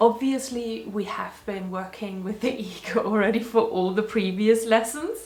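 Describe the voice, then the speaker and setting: The speaker has a non-native accent and ordinary pitch variation, talking at a fairly slow pace. Noticeable background noise and audible room echo surround the voice. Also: woman. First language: not English. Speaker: spiritual video blogger. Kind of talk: personal reflection monologue. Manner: casual.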